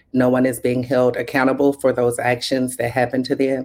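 Her pitch very deep and low, a woman speaks in a Southern US accent. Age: 40s. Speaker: HIV advocate and organizer. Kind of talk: interview conversation.

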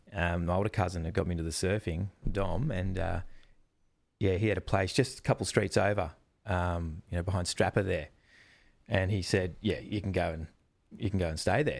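Speaking with an Australian accent at a fairly quick pace, the voice has ordinary pitch variation. Long, frequent pauses break it up in a very clean recording with a silent background. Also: man, very deep, low pitch for a man. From Australia, Melbourne. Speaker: wildlife presenter and zookeeper. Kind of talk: casual chat.

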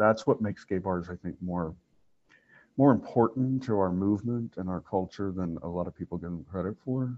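Here a man has a plain, everyday voice, fairly low in pitch, moving at a moderate pace with ordinary pitch variation. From Oklahoma. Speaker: library staff interviewer. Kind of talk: interview.

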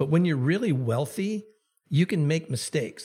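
Here a man talks at a fairly quick pace in a somewhat breathy voice. The recording is very clean, the background silent. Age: 60s. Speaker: Anglican bishop and author. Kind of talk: interview.

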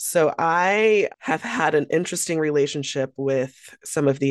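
Speaking very slowly, a woman is heard over a hushed backdrop. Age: 40s. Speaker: community advocate. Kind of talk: interview conversation.

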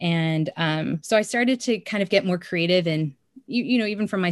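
The sound is dry and close, with no echo, as the talking goes at a fairly quick pace. It is an unremarkable speaking voice with ordinary pitch variation. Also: woman. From Korean-American community, US. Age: young. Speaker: writer and pastor. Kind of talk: casual interview.

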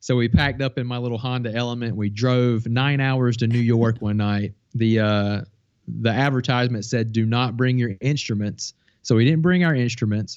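Speaking in an American accent, a man with an ordinary speaking voice and medium pitch keeps a moderate pace and fairly even intonation. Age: 40s. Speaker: filmmaker and YouTube tutorial creator. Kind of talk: casual interview.

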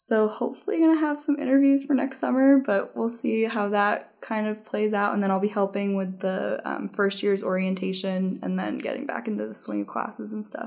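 In a normal speaking voice, a woman talks at a fairly quick pace and a fairly high pitch, with ordinary pitch variation and hardly any pauses. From New Jersey. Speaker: law student intern. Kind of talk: casual interview.

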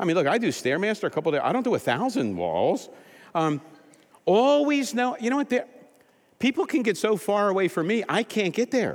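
Talking at a fairly quick pace, a man with a high voice makes very wide pitch swings while keeping his loudness very even. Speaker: pastor. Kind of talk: sermon. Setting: church.

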